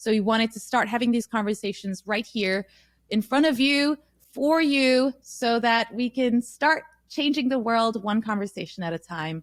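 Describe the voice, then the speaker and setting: In a very clean recording with a silent background, a woman with a fairly high pitch talks at a moderate pace with ordinary pitch variation, the sound dry and close with no echo. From Nepal. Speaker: podcast co-host, musician. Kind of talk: casual chat.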